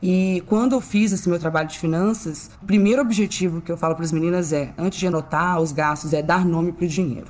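A woman's fairly low voice moves at a fairly quick pace, with ordinary pitch variation, against noticeable background noise. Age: 20s. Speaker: financial consultant. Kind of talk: casual interview.

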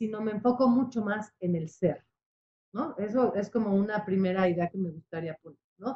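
At a moderate pace, a woman speaks somewhat breathily in a fairly high pitch with ordinary pitch variation. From Mexico, Puebla. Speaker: psychotherapist. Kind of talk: radio interview.

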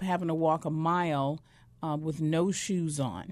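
A woman with a normal speaking voice talks against a quiet background. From northern Arizona (Flagstaff), born in Mississippi. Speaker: educator and former homeless addict. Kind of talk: testimony. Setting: studio.

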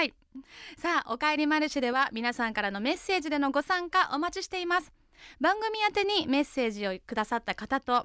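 High-pitched woman's voice, fairly quick, with very wide pitch swings, a dry, close sound with no echo and a very clean recording with a silent background. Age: 30s. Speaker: radio host. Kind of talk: casual chat.

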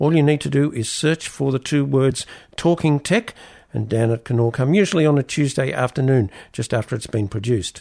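With an Australian accent, a man speaks at a fairly quick pace in a fairly high pitch, his intonation lively. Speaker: radio host. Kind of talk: radio interview.

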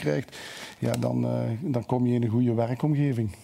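This man speaks at a moderate pace with fairly even intonation. His pitch is medium. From Belgium, Limburg (Lommel). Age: 50s. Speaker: football coach. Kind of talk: talk show interview. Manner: halting.

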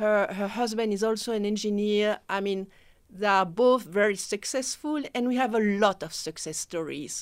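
A woman's medium-pitched voice in a French accent, with ordinary pitch variation at a moderate pace, on a very clean recording with a silent background. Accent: French-speaking. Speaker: mentorship program director. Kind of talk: radio interview. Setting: radio studio.

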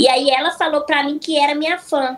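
Noticeable background noise runs through the clip. The speaking is fairly brisk. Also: woman. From Minas Gerais (Araxá), Brazil. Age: 20s. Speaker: influencer and psychologist. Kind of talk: casual chat.

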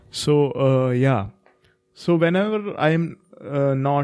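Over music in the background, a man at a medium pitch talks with lively intonation. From India. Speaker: podcast co-host, writer. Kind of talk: casual chat.

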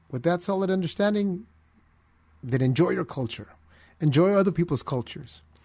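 A man's high, dark, mellow voice with an American accent, lively intonation, a fairly quick pace, long and frequent pauses, and a quiet background. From US, Filipino family. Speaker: pastor, fill-in radio host. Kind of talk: call-in radio Bible Q&A. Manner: halting, repeats words.

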